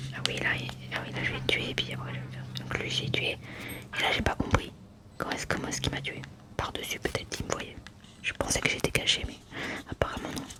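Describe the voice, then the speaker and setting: The voice is whispering at a fairly quick pace, with long, frequent pauses. Noticeable background noise is present. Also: woman. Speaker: ASMR gaming content creator. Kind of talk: ASMR gaming voice-over. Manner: soft-spoken, whispered.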